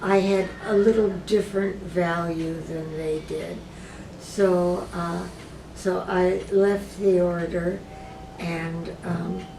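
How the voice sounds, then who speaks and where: A woman speaks at a very slow pace in a flat monotone, her pitch fairly low. Noticeable background noise and audible room echo fill the recording. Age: 80s+. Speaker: retired philosophy professor and cancer patient. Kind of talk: interview. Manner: hesitant, with many filler words.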